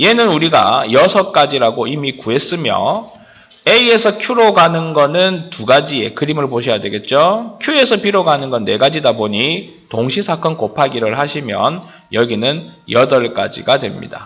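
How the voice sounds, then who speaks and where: His pace is fairly slow and his pitch fairly high for a man. The pitch swings very widely. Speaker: math teacher. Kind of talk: lecture.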